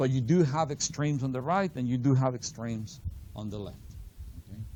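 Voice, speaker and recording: At a fairly quick pace, a man speaks in a dark, mellow tone with audible room echo. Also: medium pitch for a man, ordinary pitch variation. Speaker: finance instructor. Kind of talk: lecture.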